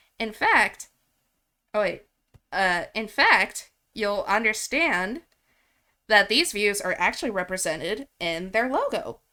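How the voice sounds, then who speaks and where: The woman's voice has a bright, sharp tone. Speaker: music software instructor. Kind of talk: tutorial. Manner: halting, trips over words.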